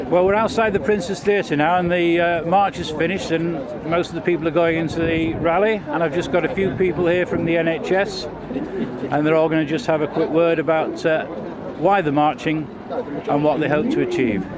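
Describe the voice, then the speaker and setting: A man with a high pitch speaks at a fairly quick pace, with ordinary pitch variation and very even loudness. Audible room echo and noticeable background noise are present. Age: 60s. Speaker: amateur video reporter, retired bus driver. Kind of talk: on-the-street video report and interviews. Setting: outdoors at a protest march.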